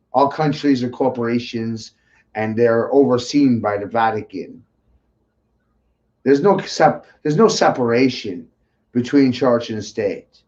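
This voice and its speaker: The speaker sounds animated and has an American accent, with ordinary pitch variation. The pace is fairly slow, broken by long, frequent pauses. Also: man, medium pitch for a man. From US Northeast, Maine. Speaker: conspiracy talk streamer. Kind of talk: rant.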